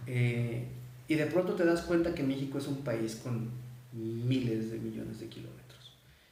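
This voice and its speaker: Audible room echo carries a man's voice with a Mexican accent, spoken at a fairly slow pace with ordinary pitch variation. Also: medium pitch for a man, big swings in loudness. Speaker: men's rights advocate. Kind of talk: live stream interview.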